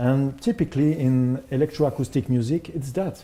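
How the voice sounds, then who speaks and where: With a French accent, a man speaks at a fairly slow pace in a somewhat breathy, dark, mellow tone with ordinary pitch variation. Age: 50s. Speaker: composer. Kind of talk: presentation. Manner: halting.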